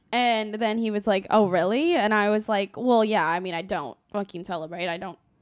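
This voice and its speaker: A woman talks at a moderate pace with hardly any pauses. She has a plain, everyday voice with ordinary pitch variation. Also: medium pitch for a woman. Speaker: podcast co-host. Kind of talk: casual chat.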